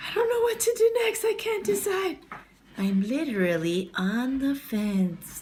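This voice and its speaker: A woman's cartoonish character voice, extremely high in pitch and playful in tone, at a fairly slow pace. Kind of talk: puppet show. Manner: playful, jokey.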